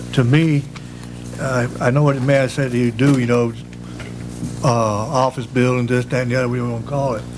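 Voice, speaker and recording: A medium-pitched man with a North Carolina accent and long, frequent pauses, amid noticeable background noise and audible room echo. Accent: Southern US (North Carolina). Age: 70s. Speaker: public commenter, resident. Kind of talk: public comment at council meeting. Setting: town council meeting.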